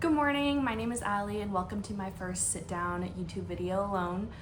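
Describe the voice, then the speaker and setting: Someone with an American accent talks at a fairly quick pace, and the room echo is audible. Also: woman. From US Pacific Northwest, Washington State. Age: 20s. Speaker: nurse and beauty vlogger. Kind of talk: casual chat during makeup tutorial. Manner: casual, conversational with fillers.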